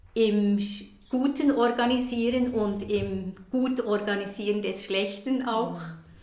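A woman speaks at a very slow pace with fairly even intonation. Noticeable background noise and audible room echo are present. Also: medium pitch for a woman. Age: 60s. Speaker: Zen teacher. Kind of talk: interview conversation. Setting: conservatory at her home. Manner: hesitant, many fillers.

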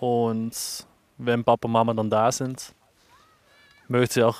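A man's monotone, flat delivery in a Dutch accent. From Netherlands. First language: Dutch (speaking German). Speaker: ski instructor. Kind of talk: interview.

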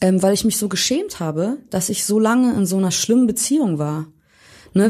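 A woman speaks in a somewhat breathy voice with a dark, mellow tone. Her medium pitch varies in an ordinary way at a moderate pace. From Hamburg, Germany. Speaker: pop musician. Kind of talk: casual interview.

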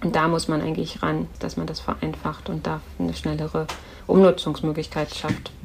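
A woman keeps a moderate pace while noticeable background noise carries on around her. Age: 40s. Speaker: politician and art scholar. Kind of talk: podcast interview.

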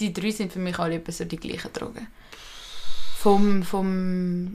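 A woman's medium-pitched voice, very slow and flat in monotone, over noticeable background noise. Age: young. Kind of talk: casual chat.

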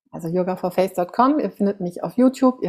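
A woman at a medium pitch and moderate pace, with ordinary pitch variation, on a very clean recording against a silent background. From Germany. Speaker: face yoga coach, author. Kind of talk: interview, personal storytelling.

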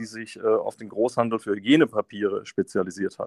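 Recorded dry and close with no echo, a man speaks at a medium pitch and moderate pace. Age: 30s. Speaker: company managing director. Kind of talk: interview. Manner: hesitant, repeats words.

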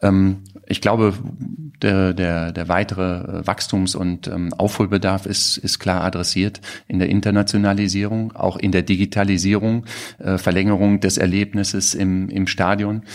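This man's fairly low voice keeps a moderate pace in a monotone, flat intonation. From Germany, Cologne. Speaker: digital agency executive. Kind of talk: interview. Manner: hesitant, many fillers.

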